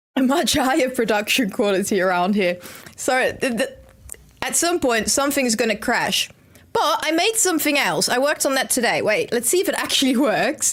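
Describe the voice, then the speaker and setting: A woman with a Brabant accent speaks at a high pitch. Her pitch swings very widely while her loudness stays very even. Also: moderate pace. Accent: Dutch, Brabant. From Netherlands, Eindhoven (North Brabant). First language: Dutch. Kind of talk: live stream chat while gaming. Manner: casual, chatty.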